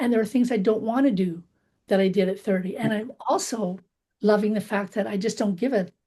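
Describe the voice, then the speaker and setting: At a moderate pace, a woman speaks in a fairly high, somewhat breathy voice with a dark, mellow tone and ordinary pitch variation. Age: 60s. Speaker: book group participant. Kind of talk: casual group discussion.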